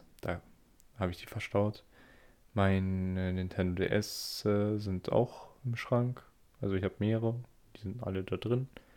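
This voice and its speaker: At a fairly slow pace with long, frequent pauses, a man with a fairly low pitch and fairly even intonation speaks on a very clean recording with a silent background. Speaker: podcaster. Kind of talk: solo monologue. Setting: Discord voice chat, recording standing. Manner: halting. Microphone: good microphone.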